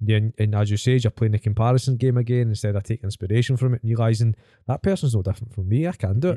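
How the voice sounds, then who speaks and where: At a very fast pace, a man with a Scottish accent speaks at a medium pitch in a dark, mellow tone. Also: ordinary pitch variation. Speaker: fitness coach, podcast host. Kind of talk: casual chat. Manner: animated storyteller.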